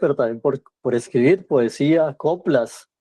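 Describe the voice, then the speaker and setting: The recording is dry and close with no echo, carrying a man's dark, mellow tone. He speaks very slowly with ordinary pitch variation. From Colombia, Valle del Cauca (Cali). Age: 60s. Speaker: cultural journalist and writer. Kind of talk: interview.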